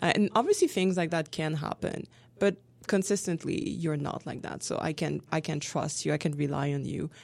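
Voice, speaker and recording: In a French accent, a woman with a very deep, low pitch and vocal fry speaks at a moderate pace with ordinary pitch variation, on a very clean recording with a silent background. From France. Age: 30s. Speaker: graduate student and French instructor. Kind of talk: casual interview.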